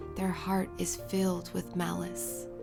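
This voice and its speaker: A woman's calm, soothing voice at a very slow pace, with music in the background. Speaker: Bible reader. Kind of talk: calm scripture reading over music.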